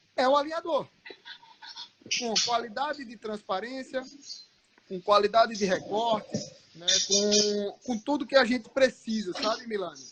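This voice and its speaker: Speaking at a fairly slow pace with long, frequent pauses, a man uses an extremely high pitch with ordinary variation while his loudness swings widely. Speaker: orthodontist, guest lecturer. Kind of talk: live online lecture chat.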